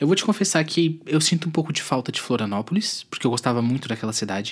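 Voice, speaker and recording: A man's fairly high voice at a fairly quick pace with very wide pitch swings, on a very clean recording with a silent background. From southern Brazil, Santa Catarina (Tubarão). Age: 20s. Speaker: podcast host. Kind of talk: casual monologue.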